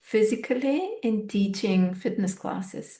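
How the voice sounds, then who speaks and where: A woman's fairly high, somewhat breathy voice with a dark, mellow tone, ordinary pitch variation and a fairly slow pace. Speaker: podcast host and fitness teacher. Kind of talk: reflective solo podcast monologue. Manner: unscripted, thoughtful.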